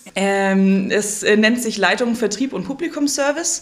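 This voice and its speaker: A woman's voice at medium pitch and moderate pace, a normal speaking voice. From Kempten, Allgäu, Bavaria. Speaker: theatre box office manager. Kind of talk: interview.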